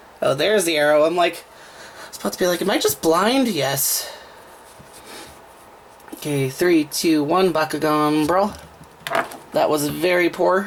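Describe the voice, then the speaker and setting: The speech has long, frequent pauses and noticeable background noise. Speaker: toy unboxing reviewer. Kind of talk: casual talk to camera.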